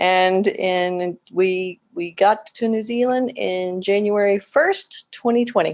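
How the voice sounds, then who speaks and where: Speaking very slowly with hardly any pauses, a woman talks at medium pitch with a slight Southern US accent. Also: ordinary pitch variation. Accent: slight Southern US twang. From Oklahoma, US. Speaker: physician associate. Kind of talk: podcast interview. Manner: casual, conversational.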